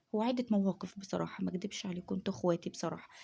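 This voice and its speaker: A soft-spoken woman talks with an Egyptian accent. Her tone is dark and mellow, and somewhat breathy. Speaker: home vlogger. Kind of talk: casual chat. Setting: at home at night.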